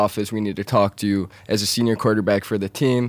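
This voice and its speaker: A man with an unremarkable speaking voice talks at a fairly low pitch with fairly even intonation on a very clean recording with a silent background. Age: young. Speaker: dropshipping entrepreneur. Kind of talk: interview. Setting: studio.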